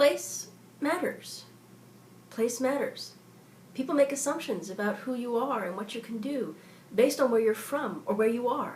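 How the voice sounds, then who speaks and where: Using an ordinary speaking voice with an American accent, a woman speaks at a fairly high pitch and moderate pace with lively intonation. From US South, southeastern Kentucky. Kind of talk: scripted narration.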